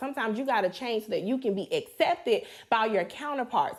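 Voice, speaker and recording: A woman with a slight Southern US accent and ordinary pitch variation. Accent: slight Southern twang. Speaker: podcast co-host. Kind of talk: casual chat.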